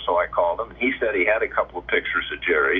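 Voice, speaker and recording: A man talks with an American accent while noticeable background noise fills the recording. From Indiana, US Midwest. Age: 70s. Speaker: former baseball player. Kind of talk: interview storytelling. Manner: halting, many fillers.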